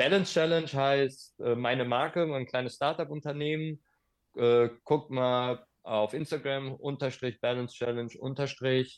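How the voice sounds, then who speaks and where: A man with a plain, everyday voice, fairly high in pitch, with fairly even intonation and a fairly slow pace. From Germany, Hagen (Ruhr area). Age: 40s. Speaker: skateboard instructor. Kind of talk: casual interview.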